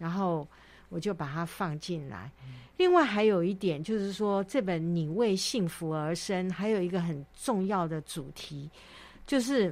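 At a fairly slow pace, a woman speaks in a normal speaking voice, fairly low in pitch with ordinary pitch variation. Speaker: author. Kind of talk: interview.

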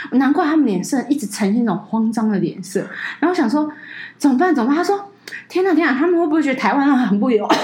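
Her pitch is high and swings very widely. The woman talks at a very fast pace. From Taiwan, Taipei. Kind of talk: casual chat.

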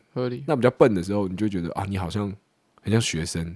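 Ordinary pitch variation runs through a plain, everyday voice. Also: man. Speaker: podcast co-host; conscript soldier on leave. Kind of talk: casual chat.

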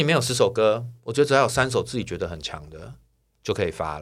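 A man with vocal fry talks at a very fast pace on a very clean recording with a silent background. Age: 40s. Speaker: singer-songwriter. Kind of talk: casual chat.

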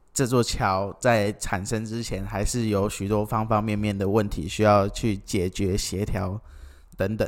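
In a monotone, a man with a fairly low pitch speaks at a fairly slow pace. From Kinmen, Taiwan. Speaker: podcast co-founder, forum participant. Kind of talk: casual chat.

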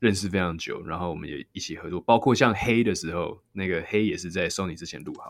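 A man talks at a very fast pace with hardly any pauses. His voice is very deep and low, with ordinary pitch variation. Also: very clean recording, silent background. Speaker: singer. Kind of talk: interview.

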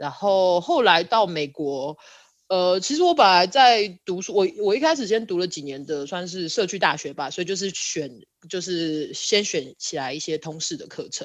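A woman's medium-pitched voice, an ordinary speaking voice, with lively intonation at a moderate pace against a quiet background. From Taiwan, Kaohsiung. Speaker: architect. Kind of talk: casual interview chat.

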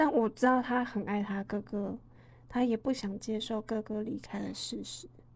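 This woman's voice is fairly high, with a dark, mellow tone and a somewhat breathy quality. She talks at a moderate pace with ordinary pitch variation against a quiet background. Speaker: podcast co-host. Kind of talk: casual chat.

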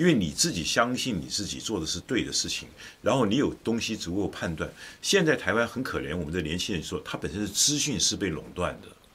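Speaking at a fairly quick pace, this man lets his pitch swing very widely. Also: fairly low pitch for a man. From Taiwan (Taichung). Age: 60s. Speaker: political commentator. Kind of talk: casual chat.

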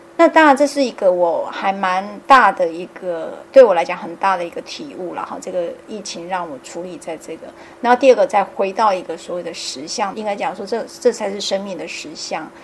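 Her delivery is fairly quick, with lively intonation and big swings in loudness at a medium pitch. Noticeable background noise is present behind this woman. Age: 50s. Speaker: podcast host. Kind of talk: casual chat.

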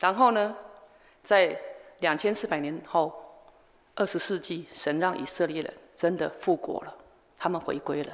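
A woman with a Taiwanese accent speaks in a fairly low pitch at a fairly slow pace, with ordinary pitch variation. She leaves long, frequent pauses, and audible room echo surrounds her voice. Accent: Taiwanese Mandarin. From Taiwan, Changhua countryside. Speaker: missionary. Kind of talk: sermon.

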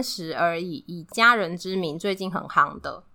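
In a very clean recording with a silent background, a woman talks at a fairly slow pace in a bright, sharp tone. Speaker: podcast co-host. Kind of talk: casual chat.

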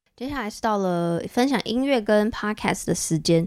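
This woman talks at a fairly slow pace in a medium pitch, her tone dark and mellow and her pitch variation ordinary. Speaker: podcast host. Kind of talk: solo monologue. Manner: animated.

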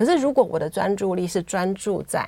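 Her dark, mellow tone carries lively intonation as this woman talks at a moderate pace. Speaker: writer and former nurse. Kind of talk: interview. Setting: studio.

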